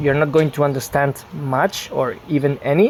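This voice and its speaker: At a fairly slow pace, the speech comes through noticeable background noise. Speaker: Spanish teacher. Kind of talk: online language lesson.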